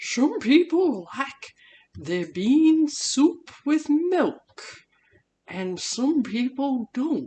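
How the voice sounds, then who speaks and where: A woman performs a cartoonish character voice in a high pitch. She speaks at a very slow pace. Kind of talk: puppet cooking show. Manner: excited, upbeat.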